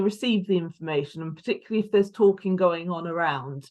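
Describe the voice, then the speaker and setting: A Lancashire accent over a quiet background. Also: woman. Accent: northern English (Lancashire). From northern England, Lancashire. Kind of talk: online talk. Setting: video call.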